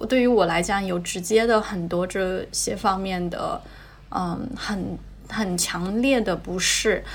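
A woman speaks at a very slow pace with fairly even intonation and a medium pitch. Noticeable background noise and audible room echo fill the recording. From China, smaller non-tier-1 city. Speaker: LGBTQ interviewee, friend of host. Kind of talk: casual chat.

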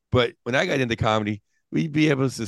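Over a quiet background, a man with an American accent uses an ordinary speaking voice, his medium pitch moving with ordinary variation at a moderate pace. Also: dry, close sound with no echo. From Pittsburgh, US. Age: 50s. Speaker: stand-up comedian. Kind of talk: casual chat.

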